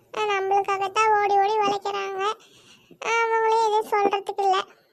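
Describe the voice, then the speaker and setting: A woman talks fairly slowly in a cartoonish character voice pitched extremely high. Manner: chatty, repetitive.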